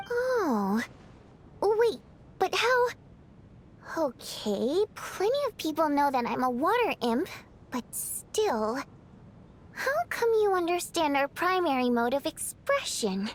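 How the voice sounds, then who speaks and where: A female-sounding put-on character voice, extremely high in pitch, swings very widely in pitch at a fairly slow pace. Long, frequent pauses break it up, with clear background noise behind. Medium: video game.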